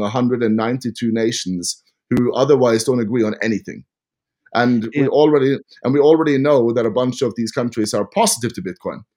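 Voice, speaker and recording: With a Norwegian accent, a man speaks fairly quickly at a medium pitch with ordinary pitch variation. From Norway. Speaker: podcast host. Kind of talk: casual interview. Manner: animated.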